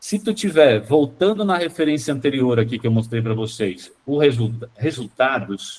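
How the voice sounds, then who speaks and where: This man has a medium-pitched, somewhat breathy voice. His intonation is lively. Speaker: school marketing consultant. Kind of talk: online training session. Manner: fast; animated.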